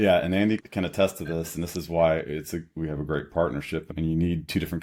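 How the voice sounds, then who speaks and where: Talking at a very fast pace, a man with an American accent uses a very deep, low pitch on a very clean recording with a silent background. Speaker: startup co-founder and product designer. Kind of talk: podcast interview.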